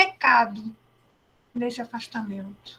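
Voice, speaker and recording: This is a woman's voice. She talks at a fairly slow pace. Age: 70s. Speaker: educator and speaker. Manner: conversational.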